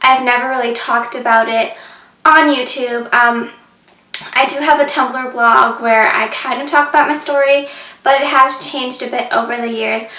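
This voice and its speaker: A woman with a high pitch uses a raised, projected voice at a moderate pace with fairly even intonation. Room echo and background noise can both be heard. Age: 20s. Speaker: vlogger. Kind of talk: personal story vlog. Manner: casual, many fillers.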